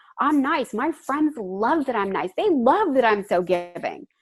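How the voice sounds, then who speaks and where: Against a quiet background, a woman speaks in an animated tone at a fairly slow pace with lively intonation. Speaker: life coach and public speaker. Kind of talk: interview conversation.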